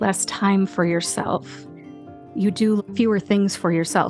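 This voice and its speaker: Fairly slow speech in an American accent, with music in the background. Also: woman. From Ohio, USA. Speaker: pharmacist and voice actor. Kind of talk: podcast interview answer.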